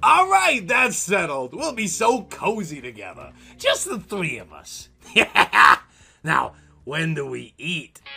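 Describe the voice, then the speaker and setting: Using a put-on character voice, a man speaks at a high pitch in a raised, projected voice, at a fairly slow pace with long, frequent pauses. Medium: read story. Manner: mocking, gleeful.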